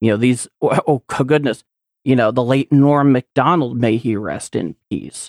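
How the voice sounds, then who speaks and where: Recorded dry and close with no echo, a man speaks in an ordinary speaking voice at medium pitch, with ordinary pitch variation and a moderate pace. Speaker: podcaster and editor. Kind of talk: casual chat.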